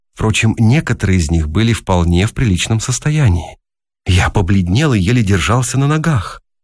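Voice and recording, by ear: Reading aloud in a natural voice with lively intonation, against a quiet background.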